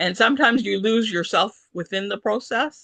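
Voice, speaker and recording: A woman with a Canadian accent speaks at a fairly slow pace in a bright, sharp tone with lively intonation and vocal fry, recorded dry and close with no echo. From Canada. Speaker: author. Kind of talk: interview. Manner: hesitant, many fillers.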